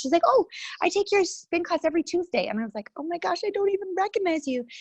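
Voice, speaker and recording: Over a quiet background, a woman's voice comes through with a dry, close sound and no echo. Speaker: author and spin instructor. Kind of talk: interview. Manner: animated.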